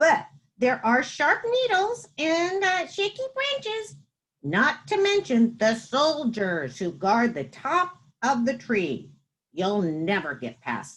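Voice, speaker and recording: A put-on character voice comes through at a fairly slow pace. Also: woman, high pitch for a woman. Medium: read story. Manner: nervous, hesitant.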